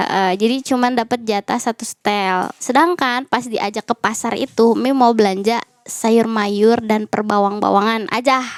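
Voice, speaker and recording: An ordinary speaking voice from a woman, fairly high in pitch, at a moderate pace with hardly any pauses, fairly even intonation, and a dry, close sound with no echo. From Indonesia, Betawi (Jakarta area). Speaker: makeup artist, podcast host. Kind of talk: casual interview chat.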